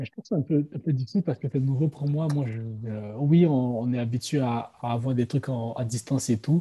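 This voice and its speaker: This man talks at a fairly quick pace in a medium pitch with ordinary pitch variation, his dark, mellow tone somewhat breathy in a dry, close sound with no echo. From Ivory Coast. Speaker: student and aspiring brewery owner. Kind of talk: casual interview.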